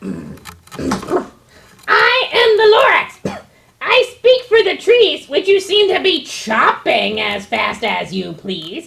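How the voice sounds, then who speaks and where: In a put-on character voice at an extremely high pitch, the speaker is shouting at a very slow pace. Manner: shouting, indignant.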